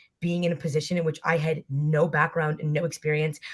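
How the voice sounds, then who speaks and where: This woman talks at a very fast pace. Her voice is somewhat breathy. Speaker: college rower. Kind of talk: panel discussion.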